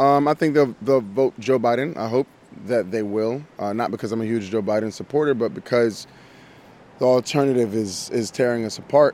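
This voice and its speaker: Here a man with an unremarkable speaking voice talks at medium pitch and moderate pace with ordinary pitch variation. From Miami. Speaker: actor. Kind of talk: interview.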